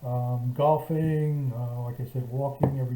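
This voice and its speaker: This man's voice has a dark, mellow tone and medium pitch, somewhat breathy. He talks at a moderate pace. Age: 70s. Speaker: vlogger recovering from shoulder surgery. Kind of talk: casual video diary. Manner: halting, many fillers and restarts.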